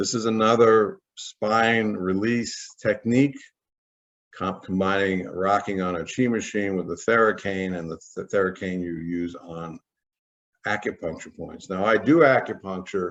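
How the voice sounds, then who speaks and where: Here is an ordinary speaking voice at a fairly slow pace, with big swings in loudness and ordinary pitch variation. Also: man, fairly low pitch for a man. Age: 60s. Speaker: saxophone player and holistic health practitioner. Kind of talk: casual tutorial talk to camera.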